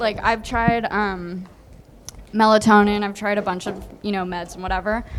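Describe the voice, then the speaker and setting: Her pitch medium and her intonation fairly even, a woman talks at a moderate pace. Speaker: audience member. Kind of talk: audience question.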